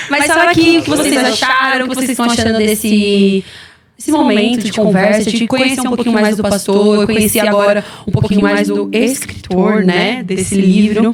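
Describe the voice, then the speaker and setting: Fairly high-pitched woman's voice at a moderate pace, ordinary pitch variation, noticeable background noise. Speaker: podcast host, church member. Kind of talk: casual chat. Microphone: audio problems on stream.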